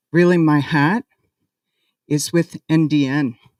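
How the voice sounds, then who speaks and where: In a Boston accent, a woman speaks at a very deep, low pitch with fairly even intonation, the sound dry and close with no echo. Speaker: activist organization director. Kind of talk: ceremony speech.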